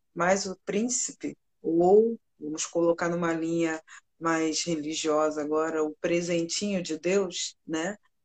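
A woman speaks at a very slow pace with a fairly low pitch. The sound is dry and close, with no echo. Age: 40s. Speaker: nurse technician and jiu-jitsu teacher. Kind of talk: live stream interview.

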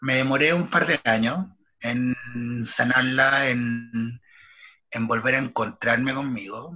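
With a Chilean accent, a man speaks at a fairly slow pace and medium pitch, keeping his intonation fairly even. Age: 30s. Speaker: theatre artist and writer. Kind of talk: personal testimony interview.

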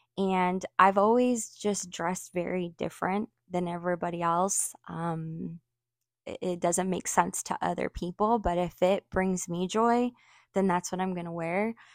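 In an American accent, a woman uses a normal speaking voice at a medium pitch and fairly slow pace with fairly even intonation, on a very clean recording with a silent background and a dry, close sound with no echo. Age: 40s. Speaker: small fashion business owner. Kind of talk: casual interview.

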